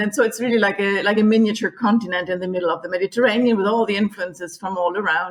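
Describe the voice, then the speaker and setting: A woman with a German accent speaks at a very fast pace and medium pitch with fairly even intonation. Noticeable background noise is present. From Germany. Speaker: tour guide. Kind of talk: podcast interview. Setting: remote recording.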